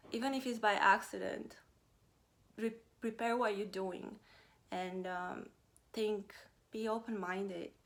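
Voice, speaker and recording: A woman with a Romanian accent speaks fairly slowly at a medium pitch, with long, frequent pauses. Her intonation stays fairly even. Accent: Romanian accent, noticeable. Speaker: vlogger. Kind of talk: personal vlog talk. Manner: halting, many fillers.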